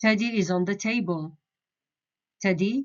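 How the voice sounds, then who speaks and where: Speaking with a Jeddah accent, a woman talks at a medium pitch. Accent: Hijazi Saudi Arabic, Jeddah. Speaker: Arabic dialect teacher. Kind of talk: beginner language lesson.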